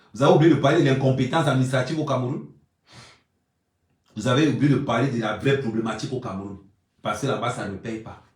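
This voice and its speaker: Very fast, animated speech with big swings in loudness, long, frequent pauses and audible room echo. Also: man, medium pitch for a man, ordinary pitch variation. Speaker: YouTube blogger. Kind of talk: live stream monologue.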